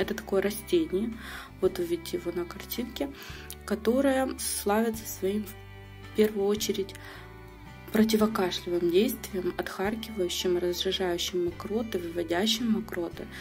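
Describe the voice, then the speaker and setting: A woman's medium-pitched voice at a moderate pace, broken by long, frequent pauses, over music in the background. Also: ordinary pitch variation. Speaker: online shop owner. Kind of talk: product unboxing review.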